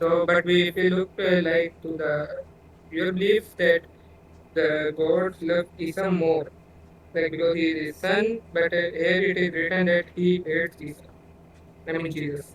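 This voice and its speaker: A man with a high pitch and a non-native accent, monotone, flat intonation, a fairly slow pace and long, frequent pauses. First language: not English. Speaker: debater arguing for atheism. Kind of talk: online debate. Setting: voice chat call. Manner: halting.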